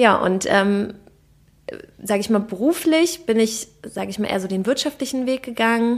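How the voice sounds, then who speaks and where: Using a normal speaking voice, a woman with a fairly high pitch talks at a moderate pace with ordinary pitch variation. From Berlin, Germany. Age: 30s. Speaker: health and nutrition coach. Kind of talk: casual interview.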